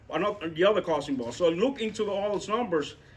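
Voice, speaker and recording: A non-native accent with ordinary pitch variation. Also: man. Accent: foreign accent, self-noted. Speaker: real estate investor. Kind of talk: talk with audience Q&A at meetup. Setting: meetup room with audience. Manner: halting, many fillers and repetitions.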